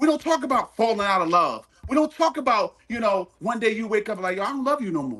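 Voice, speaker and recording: Loud and animated, a man talks at a fairly quick pace. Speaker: podcast panelist. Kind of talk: heated debate.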